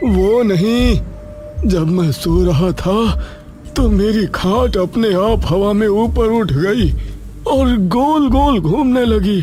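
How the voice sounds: Over clear music in the background, a man puts on a high-pitched cartoonish character voice, speaking at a fairly slow pace with long, frequent pauses and very even loudness.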